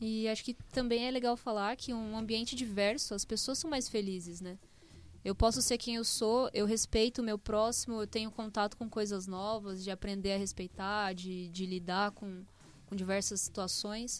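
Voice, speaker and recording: In a very clean recording with a silent background, a woman with a plain, everyday voice speaks at a moderate pace, fairly high in pitch and with fairly even intonation. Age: 20s. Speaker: software developer. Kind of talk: casual chat. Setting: studio.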